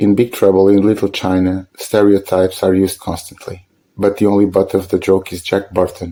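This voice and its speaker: With a Portuguese accent, a man speaks at a moderate pace in a dark, mellow tone with a fairly low pitch and flat, monotone intonation, on a very clean recording with a silent background. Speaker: film video essayist. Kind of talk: scripted narration.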